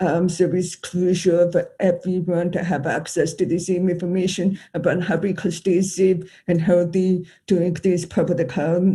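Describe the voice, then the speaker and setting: An American accent at a fairly slow pace. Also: quiet background. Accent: deaf. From US Midwest, Chicago. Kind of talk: conference panel talk. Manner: halting, many fillers.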